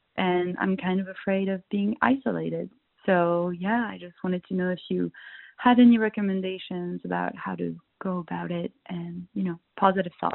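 Her loudness swings widely as the woman speaks at a moderate pace with a medium pitch and fairly even intonation. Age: 20s. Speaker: voicemail caller. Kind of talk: voicemail message.

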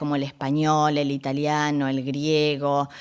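A woman's voice sits very deep and low in pitch. She speaks at a fairly slow pace. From northern Argentina (Resistencia, Chaco). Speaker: radio journalist and presenter. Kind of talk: interview.

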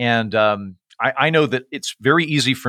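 A man speaks with an American accent at a medium pitch, his intonation lively and his tone bright and sharp. The recording is very clean with a silent background, and the sound is dry and close with no echo. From Oklahoma. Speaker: comedian and author. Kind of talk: casual interview.

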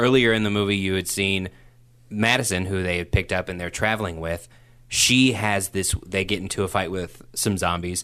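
A man's very deep, low voice with a bright, sharp tone, in an American accent, with fairly even intonation at a moderate pace, against a quiet background. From Oklahoma, Tulsa. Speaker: podcast co-host, movie reviewer. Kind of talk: casual chat.

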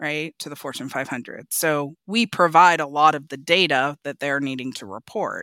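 A woman with an American accent speaks at a fairly slow pace. The sound is dry and close, with no echo. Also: very clean recording, silent background. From Oregon, US Pacific Northwest. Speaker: hotel company executive. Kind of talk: casual interview.

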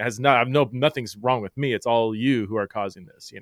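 In a dry, close sound with no echo, an unremarkable speaking voice with ordinary pitch variation is heard on a very clean recording over a silent background. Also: man. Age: 40s. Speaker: author and theologian. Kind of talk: interview on faith and gender.

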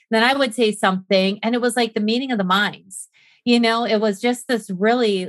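A woman talks at a fairly quick pace in an unremarkable speaking voice, with a fairly high pitch. Her loudness stays very even and her intonation is fairly even. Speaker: podcast guest. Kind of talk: casual chat.

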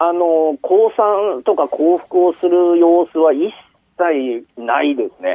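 Very slow speech from a man with a high voice and ordinary pitch variation. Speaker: media fixer in Ukraine. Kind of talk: interview. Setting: phone call. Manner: halting.

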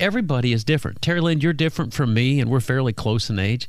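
Here is a man with an unremarkable speaking voice, medium in pitch, and lively intonation. The recording is very clean, with a silent background. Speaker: financial radio host. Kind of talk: casual radio chat. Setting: radio studio.

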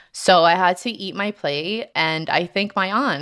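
A woman's unremarkable speaking voice with ordinary pitch variation, on a very clean recording with a silent background. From Colombia, raised in New Jersey. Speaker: guest telling personal story. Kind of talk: personal storytelling.

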